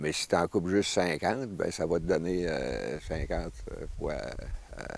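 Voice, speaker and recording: The speaker talks at a very slow pace in a Quebec accent. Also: man. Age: 60s. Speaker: forestry instructor. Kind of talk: outdoor instruction and interview. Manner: halting, many fillers.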